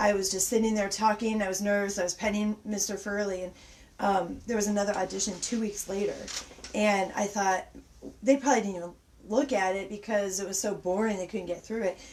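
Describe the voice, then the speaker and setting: A woman talks at a fairly quick pace with medium pitch. Her intonation is monotone and flat, and background noise is noticeable. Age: 40s. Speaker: special effects makeup artist. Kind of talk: casual interview chat. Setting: livestream from a basement. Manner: halting.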